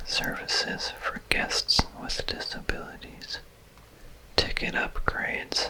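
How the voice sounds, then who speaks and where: Someone whispers in a calm tone at a very slow pace. Background noise is noticeable. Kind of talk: ASMR whispered reading. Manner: whispered, soft-spoken; slow, calm.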